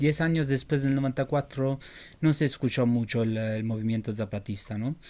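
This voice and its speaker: This man has a medium pitch, a dark, mellow tone and ordinary pitch variation. The recording is very clean, with a silent background. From Italy. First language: Italian (speaking Spanish). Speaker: journalist. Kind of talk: interview. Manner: halting, many fillers and repetitions.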